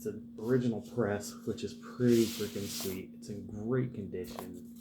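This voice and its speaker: A man talks quietly at a moderate pace over noticeable background noise. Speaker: vinyl collector YouTuber. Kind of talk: casual record show-and-tell vlog. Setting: at home, early morning. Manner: quiet, keeping voice down.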